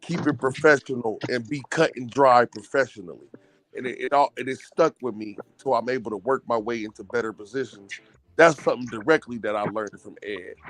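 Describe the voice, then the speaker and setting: Speaking at a fairly quick pace, a man has a plain, everyday voice of medium pitch with ordinary pitch variation, recorded with a dry, close sound and no echo. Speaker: caller. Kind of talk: casual chat.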